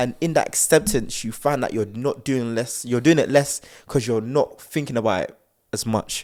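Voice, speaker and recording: A man in a South London accent, medium pitch and ordinary pitch variation, moderate pace, on a very clean recording with a silent background. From South London, England. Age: young. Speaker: podcast co-host. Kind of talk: casual chat.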